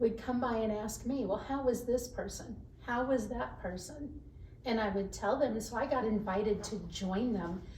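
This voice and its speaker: Amid noticeable background noise and audible room echo, a woman with an American accent speaks at a fairly high pitch. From Texas (Dallas area). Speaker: HR professional. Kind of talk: podcast interview. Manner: animated.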